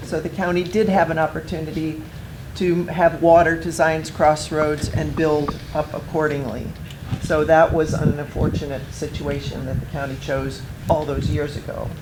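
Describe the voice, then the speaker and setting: Noticeable background noise accompanies talking that proceeds at a moderate pace. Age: 60s. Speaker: resident. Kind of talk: public comment. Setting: community meeting with audience.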